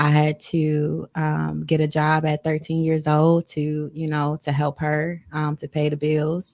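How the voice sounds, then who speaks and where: Very deep, low female voice in a flat monotone, hardly any pauses, dry and close with no echo. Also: fairly slow pace. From Chicago, moved to Milwaukee as a child. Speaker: podcast host. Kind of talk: casual interview chat.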